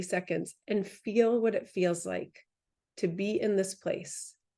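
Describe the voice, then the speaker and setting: A woman at a fairly slow pace. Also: quiet background. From New England. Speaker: holistic cancer coach. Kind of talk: webinar talk. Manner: hesitant, many filler words.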